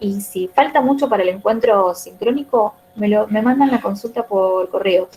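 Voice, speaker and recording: Using an unremarkable speaking voice, a woman talks at a fairly slow pace with a fairly high pitch and ordinary pitch variation. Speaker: teacher trainer. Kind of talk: online class.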